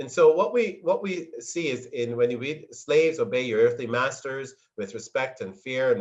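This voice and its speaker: A man talks at a fairly quick pace with lively intonation in an unremarkable speaking voice. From Montreal area, Canada; born in Barbados. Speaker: church minister, anti-racism speaker. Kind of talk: lecture presentation over video call.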